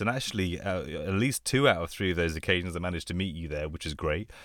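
A man with a London accent talks at a very deep, low pitch. His pitch variation is ordinary. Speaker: anaesthesia doctor and podcast host. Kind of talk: casual chat.

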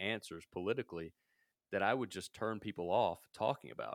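A man with an American accent speaks at a fairly quick pace in a plain, everyday voice, fairly low in pitch with ordinary pitch variation, the sound dry and close with no echo. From US South, Mississippi. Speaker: podcast host and media company founder. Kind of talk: casual chat. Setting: remote call.

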